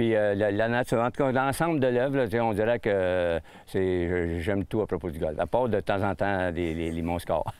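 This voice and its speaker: A man at a fairly low pitch, with lively intonation and a moderate pace. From Quebec, Sorel. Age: 60s. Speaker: retired hockey player. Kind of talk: interview. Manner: hesitant, many fillers.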